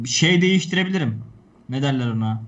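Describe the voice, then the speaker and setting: The voice is somewhat breathy, with lively intonation. Audible room echo surrounds it. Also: man. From Turkey. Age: 20s. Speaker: swimming coach. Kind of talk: casual chat.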